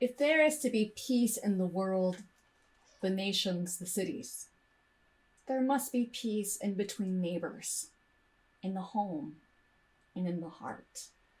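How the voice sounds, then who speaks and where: Speaking at a very slow pace with long, frequent pauses, a woman uses a medium pitch, lively intonation and a somewhat breathy voice. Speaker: minister giving a sermon. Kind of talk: sermon delivered to a congregation.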